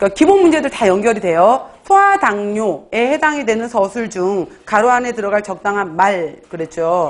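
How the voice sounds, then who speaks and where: With hardly any pauses, a woman speaks at a medium pitch with lively intonation. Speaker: exam prep lecturer. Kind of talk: lecture. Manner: fast.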